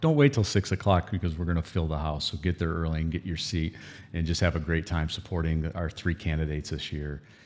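Here a man speaks at a very deep, low pitch with fairly even intonation. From Michigan, Owosso. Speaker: festival president. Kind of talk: casual interview chat. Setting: studio.

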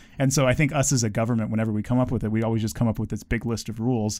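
A man with a dark, mellow tone and medium pitch speaks at a very fast pace. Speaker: teacher, government worker. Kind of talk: casual chat.

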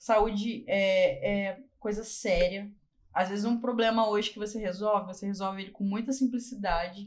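A woman speaks at a moderate pace and medium pitch, her voice somewhat breathy, her intonation fairly even, and her loudness swinging widely. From Barra Mansa, Rio de Janeiro state, Brazil. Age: 30s. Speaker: dentist. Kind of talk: casual interview.

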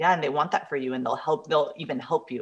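Against a quiet background, a woman talks in a very deep, low voice. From Mexico. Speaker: manifestation and love coach. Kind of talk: casual interview.

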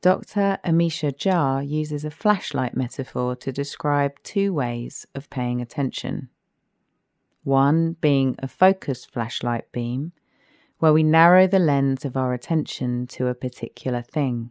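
In a calm, soothing tone and a British accent, a woman with a very deep, low pitch speaks at a fairly slow pace with ordinary pitch variation, the sound dry and close with no echo on a very clean recording with a silent background. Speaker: podcast host and poet. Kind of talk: guided meditation. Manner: slow, calm, soothing; gentle, soft-spoken.

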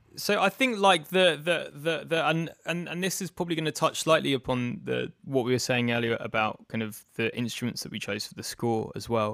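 In a very clean recording with a silent background, a man with a British accent talks with hardly any pauses, his pitch fairly high and his intonation lively. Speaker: composer. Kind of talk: casual interview chat. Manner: hesitant, repeats words.

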